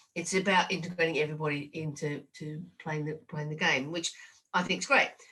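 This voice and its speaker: In an Australian accent, a woman with a fairly low pitch speaks in a bright, sharp tone with fairly even intonation. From Australia, rural New South Wales. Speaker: rugby administrator and leadership consultant. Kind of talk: podcast interview. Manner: halting.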